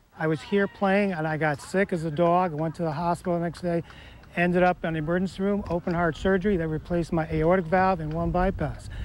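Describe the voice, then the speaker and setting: Talking at a very fast pace, a man with a high pitch keeps a monotone, flat intonation. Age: 80s+. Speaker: senior softball player. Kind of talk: interview.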